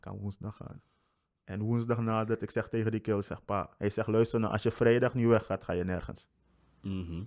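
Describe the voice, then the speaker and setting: A man speaks at a moderate pace with monotone, flat intonation over a quiet background. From Suriname. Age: 20s. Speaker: podcast guest. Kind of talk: casual chat. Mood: relaxed, humorous. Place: home room. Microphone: studio mic.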